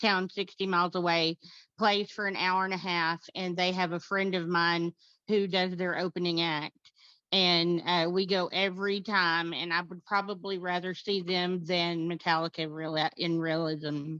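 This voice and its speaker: A woman in a Texan accent, bright and sharp in tone, monotone and flat in intonation, at a moderate pace against a quiet background. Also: fairly low pitch for a woman. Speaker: concert fan, record collector. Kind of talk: casual chat.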